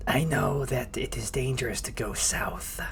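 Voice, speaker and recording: Someone whispers in a put-on character voice at a moderate pace, with clear background noise behind. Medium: actual play. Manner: eager, food-obsessed.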